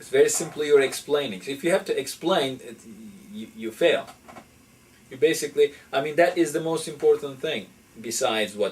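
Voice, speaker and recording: In a non-native accent, the speaker uses lively intonation and big swings in loudness. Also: man. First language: not English. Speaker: professor. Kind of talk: interview. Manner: halting.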